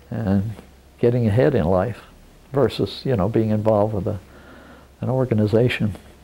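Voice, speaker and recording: A man speaks at a moderate pace with a fairly low pitch and a dark, mellow tone. His pitch varies in an ordinary way, and he takes long, frequent pauses. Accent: American. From Pennsylvania coal region. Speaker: war veteran. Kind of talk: oral history interview. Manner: conversational with frequent fillers.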